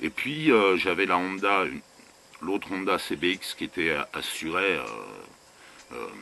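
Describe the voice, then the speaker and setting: Noticeable background noise sits behind a man with a very deep, low pitch. His pitch swings very widely at a moderate pace. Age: 60s. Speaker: vanlife vlogger. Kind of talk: casual rant to camera. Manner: animated; halting.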